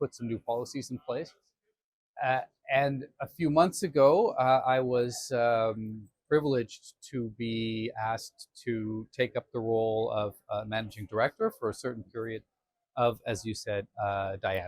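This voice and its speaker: A man with an unremarkable speaking voice, medium pitch, ordinary pitch variation and a fairly slow pace, in a dry, close sound with no echo. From Canada. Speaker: defense alliance official. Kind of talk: conversational interview. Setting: conference venue.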